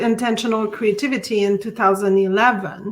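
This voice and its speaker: A woman with a Quebec accent, fairly high-pitched, bright and sharp in tone, with fairly even intonation. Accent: French Canadian accent in English. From Quebec City, French Canada. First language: French. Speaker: artist and art teacher. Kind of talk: interview. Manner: halting, many fillers and restarts.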